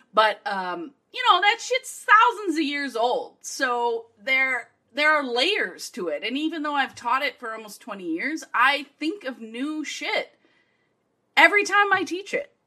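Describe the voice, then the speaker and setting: A woman speaks in a raised, projected voice, high-pitched for a woman, with a bright, sharp and enthusiastic tone. Her pitch swings very widely and her loudness shifts a lot, all at a fairly slow pace. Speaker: guest expert. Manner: loud, enthusiastic.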